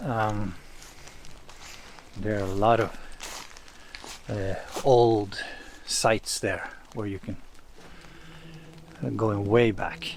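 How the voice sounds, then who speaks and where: A man's very slow, fairly low-pitched delivery with fairly even intonation and long, frequent pauses, plus audible room echo and noticeable background noise. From East Norway. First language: Norwegian. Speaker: saga translator and commentator. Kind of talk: lecture-style commentary. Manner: hesitant, many filler sounds.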